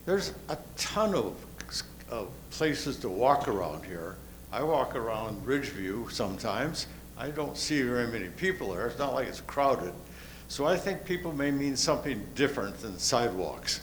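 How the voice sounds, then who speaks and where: With vocal fry and very wide pitch swings, a man speaks at a medium pitch and moderate pace amid audible room echo. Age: 80s+. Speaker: resident speaking at community meeting. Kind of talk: public comment at meeting.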